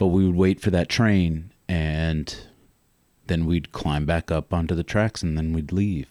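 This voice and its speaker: Speaking at a fairly slow pace, a man with a very deep, low pitch and a dark, mellow tone keeps fairly even intonation in a dry, close sound with no echo. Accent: American. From Northern Virginia. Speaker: storyteller. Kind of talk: personal storytelling. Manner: halting, many fillers.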